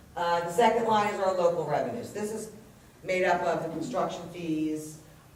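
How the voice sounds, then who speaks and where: Recorded with audible room echo and noticeable background noise, a woman talks at a moderate pace in a fairly low pitch, with ordinary pitch variation. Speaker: municipal chief financial officer. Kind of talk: budget presentation at public hearing. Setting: council meeting room with audience. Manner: loud.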